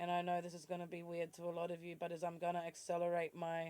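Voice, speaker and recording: Fairly quick speech in an Australian accent. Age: 40s. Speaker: vlogger. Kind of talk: personal vlog monologue.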